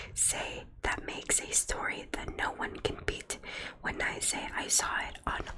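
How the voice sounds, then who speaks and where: A woman whispers at a very slow pace in a calm tone. Background noise is noticeable. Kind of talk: ASMR roleplay storybook reading to help sleep. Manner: calm, soft-spoken.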